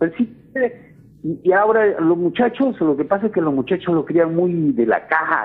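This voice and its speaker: A man is speaking. His pitch swings very widely. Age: 60s. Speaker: caller. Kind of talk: radio call-in.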